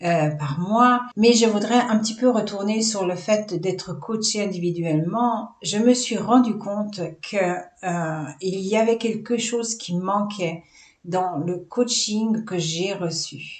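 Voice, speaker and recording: The woman talks at a very slow pace and medium pitch with ordinary pitch variation. Noticeable background noise can be heard. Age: 60s. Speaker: holistic business coach. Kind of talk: vlog presentation. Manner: hesitant, many fillers.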